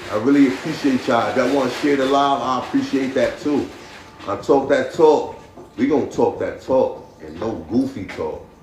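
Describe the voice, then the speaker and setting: With noticeable background noise and audible room echo, a man keeps to a moderate pace. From Paterson, New Jersey. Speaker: podcast host. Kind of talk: casual live-stream talk. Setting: live stream. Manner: repetitive, stammering restarts.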